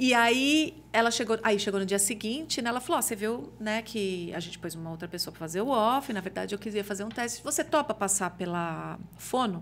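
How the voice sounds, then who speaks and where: This woman has an unremarkable speaking voice at a medium pitch. She talks at a fairly quick pace with lively intonation and big swings in loudness. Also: hardly any pauses. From Brazil, interior of São Paulo state. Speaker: TV journalist and reporter. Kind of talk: casual chat.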